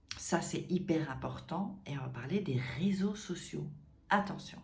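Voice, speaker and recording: With vocal fry and an animated tone, a woman speaks at a fairly low pitch with ordinary pitch variation, and room echo is audible. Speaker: dating coach youtuber. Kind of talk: casual advice vlog. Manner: animated, conversational with many fillers.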